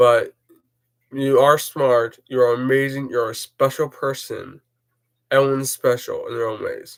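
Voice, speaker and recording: Mumbling, monotone speech from a man, flat in intonation and fairly slow in pace. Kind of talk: personal vlog talk. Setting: recorded on laptop. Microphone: laptop mic, poor quality.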